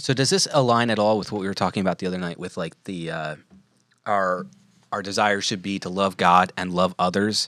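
In a very clean recording with a silent background, a man has an unremarkable speaking voice, fairly low in pitch with fairly even intonation. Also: fairly quick pace. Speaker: podcast co-host. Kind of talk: casual chat.

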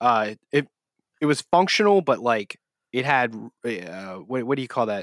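Lively intonation marks a man speaking at a moderate pace with long, frequent pauses, in a very clean recording with a silent background. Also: medium pitch for a man, dry, close sound with no echo. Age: 30s. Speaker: gaming podcast host. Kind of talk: casual chat. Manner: halting.

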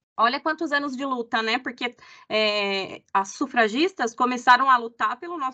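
A woman speaks at a moderate pace with a bright, sharp tone. Her pitch is high, with ordinary variation. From Brazil. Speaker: company employee, humanization lead. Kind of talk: casual chat.

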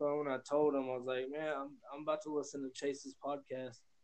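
A man with an American accent and a fairly high voice speaks fairly quickly in a flat monotone. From US South (Texas/Oklahoma). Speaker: news reporter. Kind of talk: casual chat. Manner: halting, many fillers.

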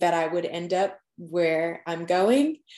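The speaker is a woman with an American accent. She varies her pitch in an ordinary way. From Long Island, New York. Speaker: dental student. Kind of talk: podcast interview.

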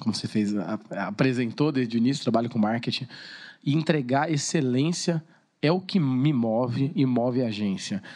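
The voice has a dark, mellow tone and a moderate pace. The background is quiet. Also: man. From Brazil, Suzano (São Paulo state). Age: 30s. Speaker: TV presenter and marketing businessman. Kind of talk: casual chat.

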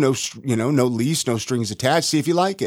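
Talking at a very fast pace, a man speaks at a medium pitch with an American accent. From California, Ventura. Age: 40s. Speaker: podcast host and realtor. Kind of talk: casual interview, being interviewed. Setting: studio.

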